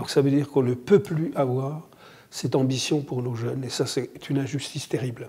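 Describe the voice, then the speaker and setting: Somewhat breathy and dark, mellow in tone, a man speaks at a moderate pace with fairly even intonation on a very clean recording with a silent background. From France, Morvan (Burgundy). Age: 70s. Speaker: association founder, volunteer. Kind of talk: interview testimony.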